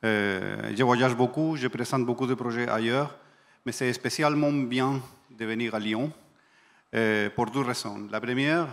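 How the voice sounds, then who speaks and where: In a very clean recording with a silent background, a man with a non-native accent speaks at a fairly slow pace, his pitch medium and its variation ordinary. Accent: foreign. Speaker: industry project manager. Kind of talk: panel talk.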